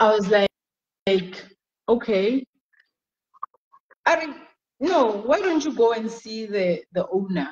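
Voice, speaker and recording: A woman speaks loudly at a fairly high pitch, with very wide pitch swings. Her pace is very slow, with long, frequent pauses. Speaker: community reading club founder. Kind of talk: interview on a Facebook live stream.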